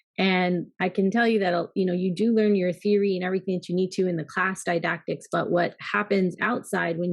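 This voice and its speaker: With an ordinary speaking voice, a woman talks at a moderate pace, fairly low in pitch and fairly even in intonation. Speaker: pharmacy business executive. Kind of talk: interview.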